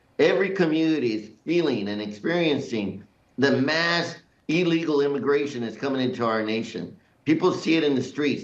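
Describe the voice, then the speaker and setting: Fairly high male speech, lively in intonation, with audible room echo. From US, Mexican-American family. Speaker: congressman. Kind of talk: TV news interview. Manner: emphatic.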